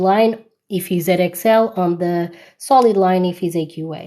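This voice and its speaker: A loud woman's voice at medium pitch, dark and mellow in tone, with fairly even intonation over a quiet background. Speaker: maths tutor. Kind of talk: live online tutorial. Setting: TikTok live stream. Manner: loud on stream.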